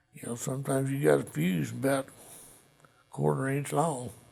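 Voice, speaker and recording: Pitch swings very widely as a man speaks with an American accent. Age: 60s. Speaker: Vietnam war veteran. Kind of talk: interview testimony.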